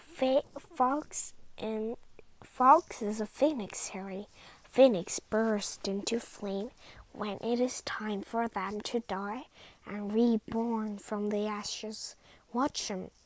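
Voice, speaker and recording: Using a put-on character voice, a woman speaks with a fairly high pitch. Her pace is very slow. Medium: read story.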